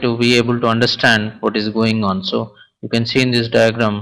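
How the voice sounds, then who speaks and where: A man speaks in an unremarkable speaking voice, keeping a medium pitch and a moderate pace. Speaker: programming instructor. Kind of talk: lecture.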